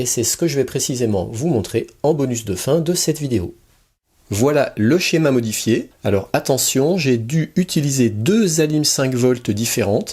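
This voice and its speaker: A man speaks at a medium pitch and a fairly slow pace, his tone dark and mellow and somewhat breathy, with lively intonation. The recording is very clean, with a silent background. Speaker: electronics hobbyist youtuber. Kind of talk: tutorial. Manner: soft-spoken.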